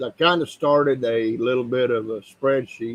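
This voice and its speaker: A man speaks with fairly even intonation. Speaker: leather crafter and laser engraver. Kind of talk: live stream workshop tutorial. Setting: workshop. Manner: hesitant, many fillers.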